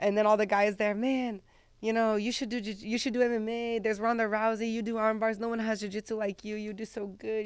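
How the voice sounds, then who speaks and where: A woman's fairly high, fairly even voice with an American accent at a fairly quick pace, on a very clean recording with a silent background. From Brazil and United States. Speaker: UFC fighter. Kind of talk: interview answer. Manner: casual, hesitant with fillers.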